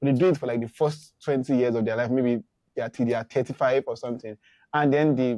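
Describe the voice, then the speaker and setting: Heard dry and close with no echo, a man talks at a fairly quick pace in a medium pitch. His tone is dark and mellow, with fairly even intonation. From Nigeria. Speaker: podcast co-host, marketer. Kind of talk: casual chat. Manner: halting, many fillers and restarts.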